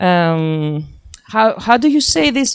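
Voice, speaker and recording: In a dry, close recording with no echo, a woman talks at a fairly slow pace with lively intonation. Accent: Greek. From Greece. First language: Greek. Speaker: sustainable development expert. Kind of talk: slide presentation. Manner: halting.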